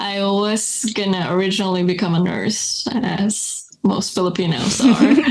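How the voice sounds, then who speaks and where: A woman speaks at a fairly slow pace with hardly any pauses, amid noticeable background noise and audible room echo. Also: medium pitch for a woman, ordinary pitch variation. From Philippines. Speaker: coffee business co-owner. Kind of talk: podcast interview. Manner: casual, filler-heavy.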